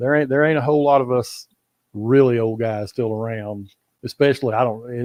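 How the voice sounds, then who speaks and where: A man speaks at a fairly quick pace. He has a Texas accent. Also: medium pitch for a man. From Texas, Fort Worth. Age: 70s. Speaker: bass angler. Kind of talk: casual interview.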